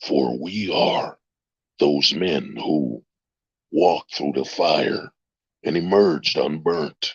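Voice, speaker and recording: Using a put-on character voice, a man speaks very slowly in a dramatic tone at a very deep, low pitch, with long, frequent pauses. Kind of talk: grand, solemn. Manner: dramatic, epic.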